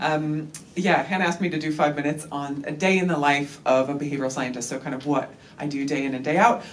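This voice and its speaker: A woman with an American accent and a very deep, low pitch talks at a very fast pace, with audible room echo and noticeable background noise. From United States. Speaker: behavioural scientist. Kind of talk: conference talk. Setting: workshop with live audience. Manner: casual, with frequent fillers.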